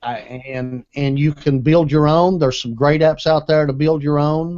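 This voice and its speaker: Barely pausing, a man with an American accent talks at a fairly high pitch with fairly even intonation. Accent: Southern US, self-described redneck. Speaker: tech show host and gadget reviewer. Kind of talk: casual panel chat with product review. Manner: casual, conversational.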